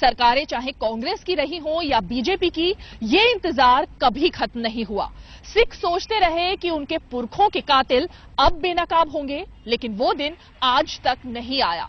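A woman with a high pitch speaks at a very slow pace, and the sound is dry with no echo. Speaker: news reporter. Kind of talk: reporter piece to camera. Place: garden. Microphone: handheld.

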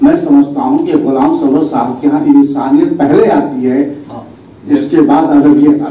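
The room's echo can be heard around this speaker. He is a man talking fairly slowly. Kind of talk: formal speech. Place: hall.

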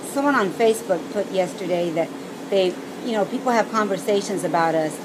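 Through noticeable background noise, a woman talks at a moderate speed, her pitch varying in an ordinary way. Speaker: vlogger on weight-loss surgery. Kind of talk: casual vlog chat. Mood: earnest, reflective. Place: garden. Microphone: phone near.

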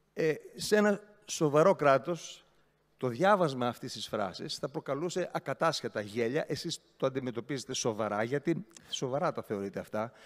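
Lively intonation marks this man's fairly high-pitched voice. He keeps a moderate pace over a quiet background. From Greece. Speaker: regional councillor, opposition party leader; regional councillor. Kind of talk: council speech. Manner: sarcastic, animated. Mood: mocking, ironic. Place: hall. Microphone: podium.

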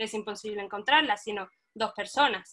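The speech moves at a moderate pace. It is a normal speaking voice. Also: woman. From Cádiz, Spain. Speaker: web developer. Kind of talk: webinar panel discussion.

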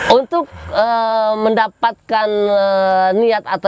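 The sound is dry, with no echo. Pitch varies in an ordinary way. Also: man. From Cilegon, Banten, Indonesia; Banten, Indonesia. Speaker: local politician. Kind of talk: interview. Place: open country. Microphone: lapel.

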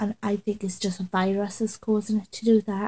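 A woman speaks in a dark, mellow, somewhat breathy voice with monotone, flat intonation. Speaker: vlogger. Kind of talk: casual vlog chat. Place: home room. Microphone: webcam.

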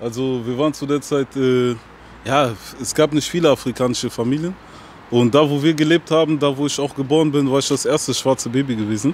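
Fairly high for a man, this voice moves at a fairly quick pace with fairly even intonation. Light background noise sits under a dry sound with no echo. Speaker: rapper; interviewee. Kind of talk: casual interview. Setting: outdoors. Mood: calm, reflective. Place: street. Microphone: handheld.

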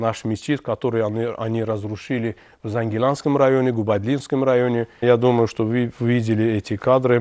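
A man at a moderate pace with an Azerbaijani accent, fairly even intonation, a dry sound with no echo and a quiet background. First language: Azerbaijani (speaking Russian). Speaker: TV host. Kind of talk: TV interview. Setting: TV studio. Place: studio.

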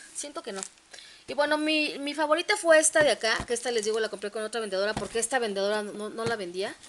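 A woman with a Mexican accent, a fairly high pitch, ordinary pitch variation and a fairly quick pace, over light background noise. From Mexico. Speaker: collector vlogger. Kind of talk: casual unboxing vlog. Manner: animated. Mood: cheerful, enthusiastic. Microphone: phone near.

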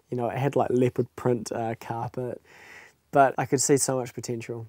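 A man's dark, mellow tone in a flat monotone at a moderate pace, dry with no echo, over a quiet background. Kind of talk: interview answer. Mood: cheerful, laughing storytelling. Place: home room. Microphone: lapel.

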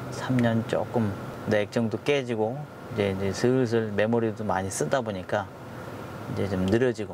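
Recorded dry with no echo but with noticeable background noise, a man speaks at a moderate pace in a fairly low pitch with ordinary pitch variation. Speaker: taxi driver vlogger. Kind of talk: casual vlog chat. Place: car. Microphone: lapel.

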